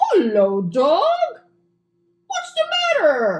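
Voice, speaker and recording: A cartoonish character voice with a high pitch jumps through very wide pitch swings. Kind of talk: children's puppet show.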